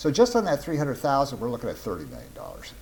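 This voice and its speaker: A man's pitch swings very widely. Vocal fry runs through his voice. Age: 60s. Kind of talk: casual monologue.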